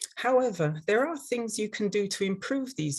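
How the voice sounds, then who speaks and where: A woman with an English accent speaks at a moderate pace in a somewhat breathy voice, her pitch swinging very widely. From London, England. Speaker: dental hygienist and instructor. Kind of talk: webinar presentation. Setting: online webinar.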